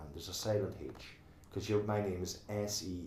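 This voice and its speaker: A somewhat breathy man at a fairly slow pace, with audible room echo. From Ireland, Northwest Donegal Gaeltacht. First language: Irish Gaelic. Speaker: tower block resident and committee member. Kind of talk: oral history interview. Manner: halting, repeats words.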